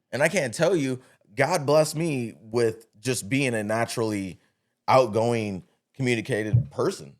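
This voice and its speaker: A man at medium pitch, animated in tone with lively intonation, at a fairly slow pace on a very clean recording with a silent background. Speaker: business owner and entrepreneur. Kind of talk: casual interview chat. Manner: loud.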